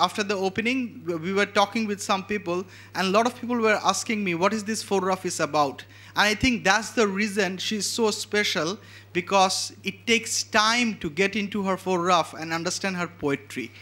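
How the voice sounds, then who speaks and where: A man's raised, projected voice, high in pitch, with a bright, sharp tone, a Bengali accent and a moderate pace. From Bangladesh. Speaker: event host introducing a photographer. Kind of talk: speaker introduction.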